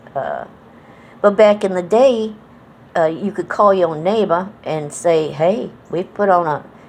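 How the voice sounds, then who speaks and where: This woman talks at a fairly slow pace with an American accent. Her pitch sits in the medium range and varies in an ordinary way. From Connecticut, New England, to Southern parents. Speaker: vlogger. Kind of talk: casual monologue vlog. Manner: relaxed, with many fillers and repetitions.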